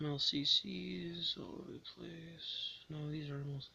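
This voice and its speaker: The soft-spoken voice comes through light background noise in a dry sound with no echo. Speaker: scrapping vlogger. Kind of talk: tutorial. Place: home room. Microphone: phone near.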